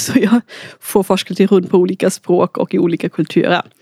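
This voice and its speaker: A woman with a German accent, in a dry, close sound with no echo. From Austria. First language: German (speaking Swedish). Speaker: researcher. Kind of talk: casual interview.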